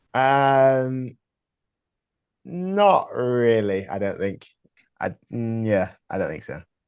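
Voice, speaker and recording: Speaking very slowly with an English accent, a man makes very wide pitch swings and big shifts in loudness, leaving long, frequent pauses. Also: medium pitch for a man. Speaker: rock musician. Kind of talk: casual chat.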